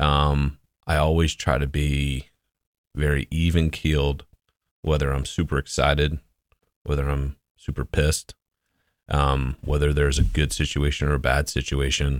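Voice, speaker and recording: Long, frequent pauses break up moderately paced speech delivered in a flat monotone, with a dry, close sound and no echo. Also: man, very deep, low pitch for a man. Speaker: business owner. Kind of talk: interview. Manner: even-keeled.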